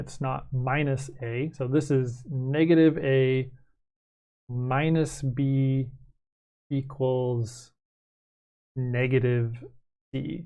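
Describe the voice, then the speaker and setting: Pausing long and often, a man at medium pitch speaks with fairly even intonation amid audible room echo. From Canada. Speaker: math teacher. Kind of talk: recorded lecture. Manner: casual, with many fillers.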